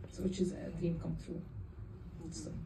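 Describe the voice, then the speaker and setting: A woman speaks in a room with audible echo. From Jordan. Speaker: film director. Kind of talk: Q&A after a film screening. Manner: halting.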